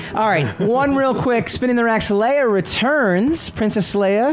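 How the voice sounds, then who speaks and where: The tone is animated. Noticeable background noise can be heard. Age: 50s. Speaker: comic book podcast host. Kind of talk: casual chat. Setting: studio, streamed live.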